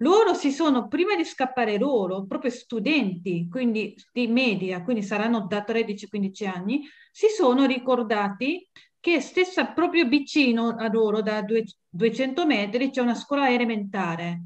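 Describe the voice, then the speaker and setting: A woman speaks with a Japanese accent and a fairly high pitch. Her intonation is lively, and the background is quiet. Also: fairly slow pace. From Japan, Tokyo area. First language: Japanese (speaking Italian). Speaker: guest. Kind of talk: interview. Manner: halting. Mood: moved, earnest. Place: home room. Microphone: webcam.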